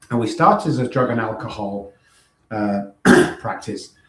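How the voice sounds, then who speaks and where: Talking at a fairly quick pace, a man has an English accent. His pitch is medium, with ordinary variation. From northern England, Manchester. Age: 60s. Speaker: recovery coach and former musician. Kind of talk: podcast interview. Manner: animated.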